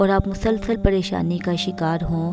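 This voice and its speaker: Music plays in the background. The speaker's intonation is monotone and flat. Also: woman. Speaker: hobby voice-over artist. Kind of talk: Islamic motivational talk.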